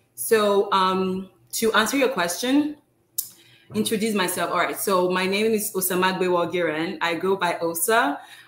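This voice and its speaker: Speaking at a moderate pace with ordinary pitch variation, a woman is heard with audible room echo. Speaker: pharmacist and postdoctoral fellow. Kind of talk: informal interview. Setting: live video stream. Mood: friendly, smiling. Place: home room.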